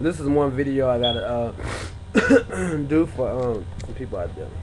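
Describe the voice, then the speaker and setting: Medium-pitched male speech at a fairly slow pace, with big swings in loudness and noticeable background noise. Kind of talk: casual talk to camera. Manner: rambling, slangy, conversational.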